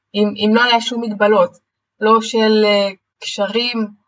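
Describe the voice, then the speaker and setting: This woman's pitch is fairly high. She talks at a fairly slow pace. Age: 20s. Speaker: personal coach. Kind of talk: interview. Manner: energetic.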